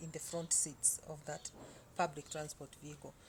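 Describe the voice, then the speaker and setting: At a moderate pace, a woman talks in a voice that is somewhat breathy. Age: 60s. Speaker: vlogger. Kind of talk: casual storytelling monologue. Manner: halting, many fillers.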